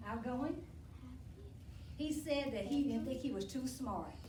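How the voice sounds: Audible room echo surrounds a woman speaking at a fairly slow pace, her high pitch showing ordinary variation.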